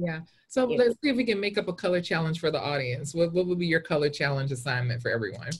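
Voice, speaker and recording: A woman speaks very fast in a fairly low, somewhat breathy voice with very wide pitch swings. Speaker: illustrator and teacher; teacher. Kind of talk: casual chat. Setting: video call. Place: home room. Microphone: video call.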